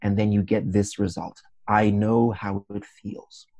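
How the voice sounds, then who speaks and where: Fairly low in pitch, a man's voice has a dark, mellow tone and monotone, flat intonation. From Zimbabwe. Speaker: public speaking champion. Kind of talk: interview.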